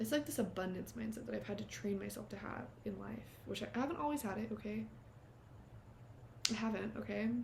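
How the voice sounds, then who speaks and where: A woman talks at a fairly quick pace with long, frequent pauses. Audible room echo surrounds her voice. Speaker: vlogger starting a podcast. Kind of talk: casual monologue to camera. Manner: fast; animated. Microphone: cheap little clip mic.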